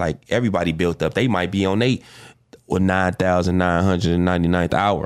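A man with a Chicago accent speaks at a fairly quick pace in a very deep, low voice. His loudness stays very even and his intonation fairly even, on a very clean recording with a silent background. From Chicago, South Side. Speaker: R&B singer and songwriter. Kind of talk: casual interview chat. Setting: studio.

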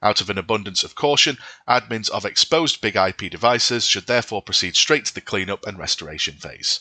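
A man talks at a fairly quick pace with a medium pitch, a bright, sharp tone and lively intonation. The sound is dry and close with no echo, against a quiet background. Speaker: podcast host. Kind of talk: scripted news reading. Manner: formal, steady and measured; even, neutral delivery, like a news bulletin.

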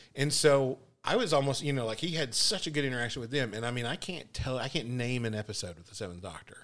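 A man's medium-pitched voice with an American accent, very fast pace, lively intonation, big swings in loudness and hardly any pauses. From Texas. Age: 40s. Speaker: podcast co-host. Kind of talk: casual chat.

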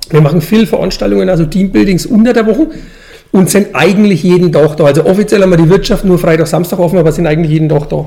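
With a strong Franconian accent, a man talks at a very fast pace in a high pitch, with ordinary pitch variation and very even loudness, over noticeable background noise. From Franconian Switzerland, Upper Franconia. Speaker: brewer, brewery owner. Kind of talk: interview.

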